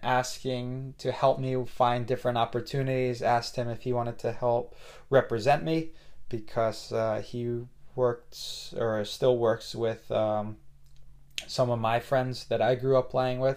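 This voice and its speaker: A man with an American accent, medium pitch, fairly slow pace and monotone, flat intonation. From New Jersey, US. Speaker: podcast host, soccer coach and former player. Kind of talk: solo podcast monologue.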